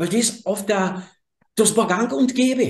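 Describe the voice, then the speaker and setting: Speaking very slowly, a man talks with a Carinthian accent. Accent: Carinthian Austrian German. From southern Carinthia, Austria (Slovene minority). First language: Slovene (speaking German). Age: 60s. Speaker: energy healer. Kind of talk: interview conversation. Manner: halting, self-correcting.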